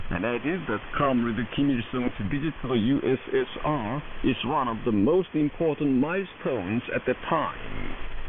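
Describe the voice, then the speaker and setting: With noticeable background noise behind him, a man at a medium pitch speaks with hardly any pauses and ordinary pitch variation. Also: moderate pace. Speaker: shortwave radio news announcer. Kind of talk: state radio news broadcast. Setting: shortwave AM radio broadcast.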